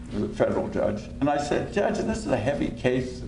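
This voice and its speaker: At a moderate pace, the speech comes with audible room echo. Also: man. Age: 70s. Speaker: lawyer, panelist. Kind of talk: panel talk.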